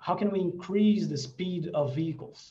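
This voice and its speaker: Ordinary pitch variation in a man's dark, mellow tone. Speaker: researcher. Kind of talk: seminar Q and A. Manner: fast; halting.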